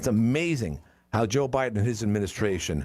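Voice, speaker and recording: With lively intonation, a man speaks at a fairly quick pace in a fairly low pitch. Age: 60s. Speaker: talk radio host. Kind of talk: call-in talk radio. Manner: halting, repetitive.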